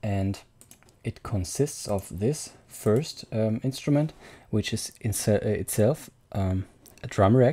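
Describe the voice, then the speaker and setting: A man talks in a soft-spoken way. His pace is very slow. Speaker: music producer. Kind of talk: tutorial. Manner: quiet, speaking softly. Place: home room. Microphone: studio mic.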